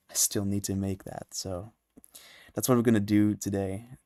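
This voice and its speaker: A soft-spoken man with a dark, mellow tone, a fairly low pitch and monotone, flat intonation. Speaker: music producer livestreamer. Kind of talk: casual livestream chat. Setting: livestream from home, early morning. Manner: quiet, soft-spoken.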